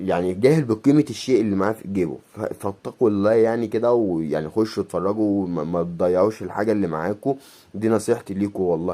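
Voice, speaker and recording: A man's dark, mellow voice at a fairly quick pace with hardly any pauses and ordinary pitch variation. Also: fairly low pitch for a man. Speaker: YouTuber, coin collector. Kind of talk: casual vlog monologue. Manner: fast.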